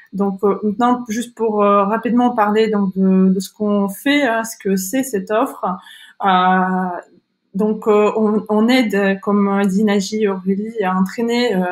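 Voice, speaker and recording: This speaker has a Kazakh accent and talks at a very slow pace with monotone, flat intonation. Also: woman, medium pitch for a woman. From Kazakhstan. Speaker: online school founder and career coach. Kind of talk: webinar presentation. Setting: online webinar. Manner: halting, many hesitations.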